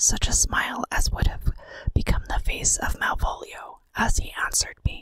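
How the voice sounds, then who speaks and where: A woman is whispering at a moderate pace. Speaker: podcast host. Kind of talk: ASMR horror story reading. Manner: whispered.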